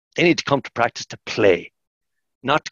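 A man is speaking. The background is quiet, and the sound is dry with no echo. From Ireland. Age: 50s. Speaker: sports science lecturer; sports science lecturer guest. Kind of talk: podcast interview; interview answer. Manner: animated; halting, repetitive. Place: office. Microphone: headset.

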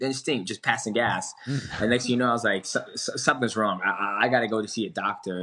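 Here a man talks at a fairly quick pace in a bright, sharp tone. His intonation is fairly even, and the background is quiet. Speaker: remote interview guest. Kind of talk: interview answer. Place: home room. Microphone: video call.

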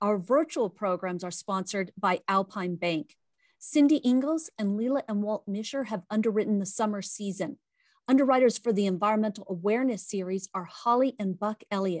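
A woman speaks at a moderate pace with ordinary pitch variation, the sound dry and echo-free against a quiet background. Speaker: event host. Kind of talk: scripted program introduction. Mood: warm, upbeat. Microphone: webcam.

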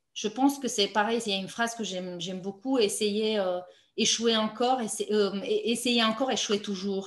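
In a Romanian accent, a woman talks at a moderate pace and fairly high pitch with fairly even intonation, the background quiet but with audible room echo. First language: Romanian (speaking French). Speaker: playwright and novelist; interviewee. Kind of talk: author interview. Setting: online video meeting. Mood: thoughtful, calm. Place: home room. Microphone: video call.

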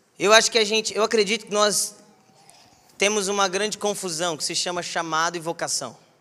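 A man with a high pitch talks at a fairly quick pace in a raised, projected voice with an animated tone. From southern Minas Gerais, Brazil. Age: 20s. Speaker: preacher. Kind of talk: sermon. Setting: church. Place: church. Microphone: handheld.

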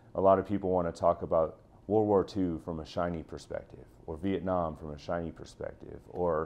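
At a fairly quick pace, a man speaks in a very deep, low pitch with fairly even intonation. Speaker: school teacher. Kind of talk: interview answer. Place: home room. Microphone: lapel.

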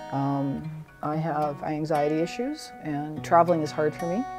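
Clear music plays behind a woman whose very deep, low voice shows ordinary pitch variation. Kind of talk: interview answer. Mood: fond, reflective. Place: home room. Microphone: lapel.

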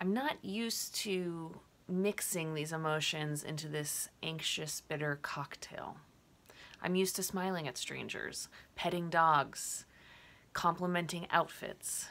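A woman speaks at a fairly slow pace in a fairly low pitch, her tone bright and sharp yet gentle, with ordinary pitch variation. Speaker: poet. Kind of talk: poem performed, prose poem read aloud. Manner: reflective, gentle, measured. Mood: reflective, saddened. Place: home room. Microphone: webcam.

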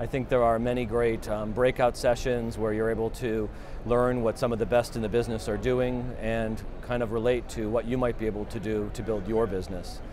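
With noticeable background noise around him, a man speaks at a fairly quick pace in a flat monotone, hardly pausing, in a dry sound with no echo. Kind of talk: interview answer. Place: hall.

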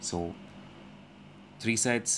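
This man speaks at a very slow pace, his pitch fairly low with ordinary variation. His tone is fairly bright.

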